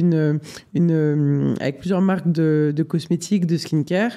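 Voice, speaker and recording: A man speaks in a dark, mellow tone. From Switzerland, Geneva. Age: 20s. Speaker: photographer. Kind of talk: interview. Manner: hesitant, many fillers.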